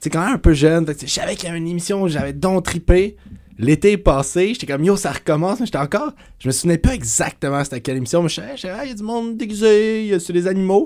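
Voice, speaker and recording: A man with a high pitch speaks at a very fast pace. His loudness swings widely. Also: lively intonation. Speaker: podcast co-host. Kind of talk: casual chat.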